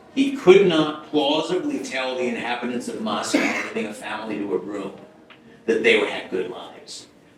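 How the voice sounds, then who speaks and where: Moderate speed from a man with an American accent, room echo audible and background noise noticeable. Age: 80s+. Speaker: economist giving a lecture. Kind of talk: lecture. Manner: halting, with many repetitions and fillers.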